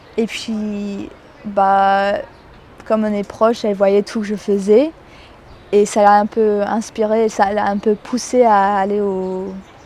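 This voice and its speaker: Very slow, monotone speech from a woman with flat intonation and long, frequent pauses, over noticeable background noise. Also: medium pitch for a woman. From New Zealand. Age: young. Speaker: student. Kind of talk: interview answer.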